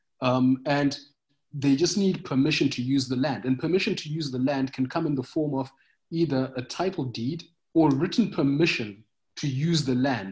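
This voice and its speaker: A man's fairly high, somewhat breathy voice moves at a fairly quick pace. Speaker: agritech startup founder. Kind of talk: podcast interview.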